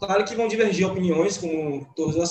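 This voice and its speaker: At a moderate pace, a man talks in a high pitch. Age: 20s. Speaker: art teacher and student. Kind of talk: casual chat. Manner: stammering.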